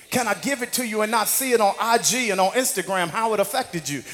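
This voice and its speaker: Over music in the background, a man talks in a high pitch with an animated tone. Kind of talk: sermon with call-and-response. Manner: animated, rousing, crowd-working.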